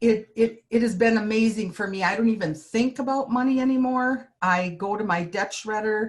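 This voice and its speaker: A somewhat breathy woman with a fairly high pitch talks at a moderate pace with ordinary pitch variation and hardly any pauses. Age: 60s. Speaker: healthcare worker, product user. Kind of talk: testimony.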